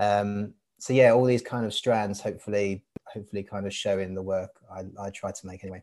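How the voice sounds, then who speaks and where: In a London accent, a man speaks at a fairly quick pace with a fairly low pitch and monotone, flat intonation. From east London (Barking, Hainault). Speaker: artist. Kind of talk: casual interview.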